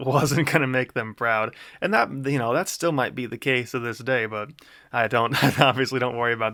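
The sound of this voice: Someone is reading. The voice is unforced.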